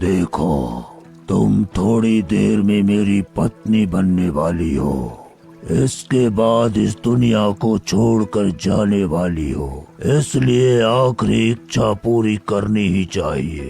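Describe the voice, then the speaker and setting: Over clear background music, a man does a cartoonish character voice with a fairly low pitch at a very slow pace. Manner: menacing.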